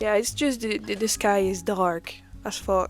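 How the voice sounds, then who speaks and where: Over music in the background, a woman with a French accent speaks at a fairly slow pace. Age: 20s. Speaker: book vlogger. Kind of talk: casual vlog. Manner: animated.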